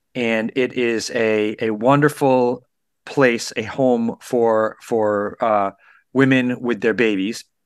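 Against a quiet background, a man talks at a very slow pace in a monotone, flat intonation. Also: medium pitch for a man. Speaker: radio host. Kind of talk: radio show hosting.

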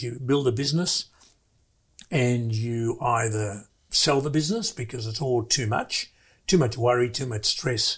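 A somewhat breathy man with an Australian accent, medium pitch, lively intonation and a moderate pace. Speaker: business investor, former manufacturer. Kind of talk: interview. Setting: studio.

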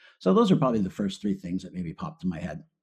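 A man talks with lively intonation in a fairly low voice with a dark, mellow tone. The background is quiet. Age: 50s. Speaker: financial advisor. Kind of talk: interview.

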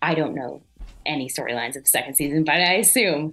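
Music plays behind a woman whose voice is very deep and low in pitch. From Quebec, south of Montreal. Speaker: actress. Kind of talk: interview. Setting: live online show.

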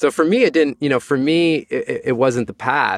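A man with a Canadian accent talks at a fairly quick pace, using ordinary pitch variation and an unremarkable speaking voice. The background is quiet, and the sound is dry and close with no echo. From Canada. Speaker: author and mental fitness strategist. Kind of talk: interview conversation.

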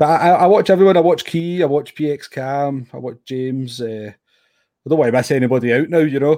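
With a Scottish accent, a man with a dark, mellow tone and fairly high pitch speaks at a fairly quick pace with ordinary pitch variation. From Scotland. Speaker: sim racer. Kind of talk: casual interview.

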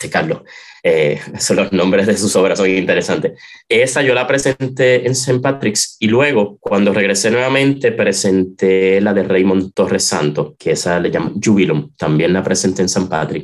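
A man's fairly low-pitched, ordinary speaking voice at a moderate pace, with lively intonation and very even loudness. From Puerto Rico, San Juan metro area. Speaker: organist. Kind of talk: interview.

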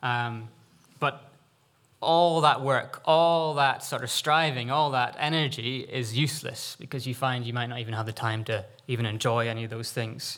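An ordinary speaking voice from a man at medium pitch and a moderate pace, ordinary pitch variation, on a very clean recording with a silent background. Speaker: preacher. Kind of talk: sermon. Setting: church.

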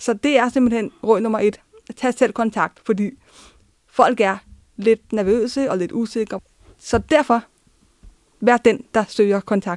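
Very slowly, with long, frequent pauses, a woman speaks at a fairly high pitch and fairly even intonation in a dry, close sound with no echo. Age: 20s. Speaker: social work student. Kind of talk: personal testimony. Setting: studio.

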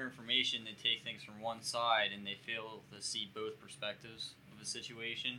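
Speaking at a moderate pace, a man with a normal speaking voice keeps a medium pitch and fairly even intonation while his loudness swings widely. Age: young. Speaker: recent high school graduate. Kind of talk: casual chat.

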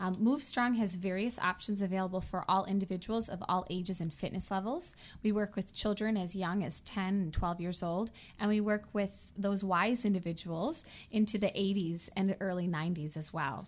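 In a plain, everyday voice, the speaker moves at a moderate pace with ordinary pitch variation. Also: woman, medium pitch for a woman. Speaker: fitness trainer. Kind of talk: radio interview. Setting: studio.

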